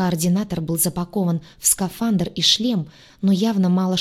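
The clip is plain reading aloud. Nothing more stands out.

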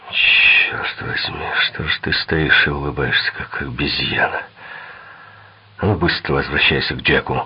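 A man puts on a character voice with an extremely low pitch and a husky, rough edge. He speaks at a fairly slow pace with fairly even intonation.

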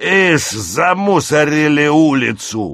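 A man puts on a character voice with a fairly bright tone and big pitch swings, speaking at a slow pace. The recording is very clean, with a silent background. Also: fairly high pitch for a man.

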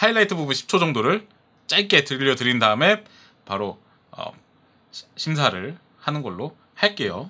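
In a bright, sharp tone, a man speaks with very wide pitch swings. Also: very clean recording, silent background. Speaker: podcast host. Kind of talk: casual chat.

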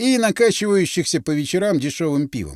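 Lively rises and falls mark this plain reading aloud.

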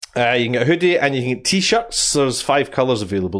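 Against a quiet background, a man with a Scottish accent talks at a medium pitch, making very wide pitch swings. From Scotland. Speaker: podcast host. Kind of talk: casual chat. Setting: live stream.

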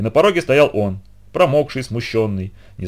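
The speaker reads aloud plainly. Intonation stays lively throughout.

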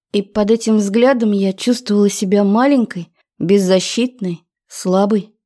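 Over a quiet background, a natural reading voice can be heard.

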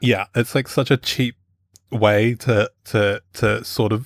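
Monotone, flat intonation at a moderate pace, with a New Zealand accent and a dry, close sound with no echo. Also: man, very clean recording, silent background. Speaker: podcast panelist. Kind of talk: casual panel discussion.

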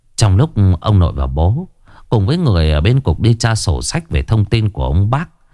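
A natural voice, reading aloud

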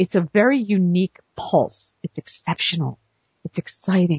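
A woman talks at a fairly low pitch with a somewhat breathy sound. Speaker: literary agent and podcast host. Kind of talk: casual monologue. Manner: fast; animated.

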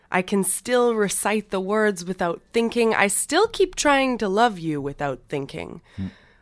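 A woman with a Canadian Prairie accent at a medium pitch and fairly slow pace, on a very clean recording with a silent background. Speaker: spoken word poet. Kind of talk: poetry reading.

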